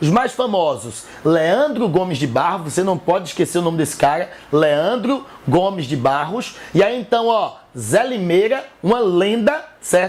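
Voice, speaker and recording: A high-pitched man with a northeastern Brazilian accent, very wide pitch swings and a fairly slow pace, amid noticeable background noise. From Northeast Brazil. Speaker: teacher. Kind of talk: educational lecture.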